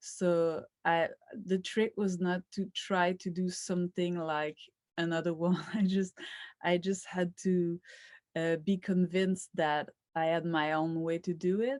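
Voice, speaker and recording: With a Quebec accent, a woman speaks in a flat monotone at a fairly low pitch and a fairly slow pace, her voice dry and close with no echo on a very clean recording with a silent background. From rural Quebec, Canada. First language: French. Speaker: filmmaker. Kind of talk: interview. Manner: halting.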